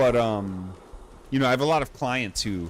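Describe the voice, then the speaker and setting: A man's fairly low voice, an unremarkable speaking voice, with ordinary pitch variation at a fairly quick pace. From United States. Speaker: gaming streamer. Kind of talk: casual chat. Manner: casual, filler-heavy.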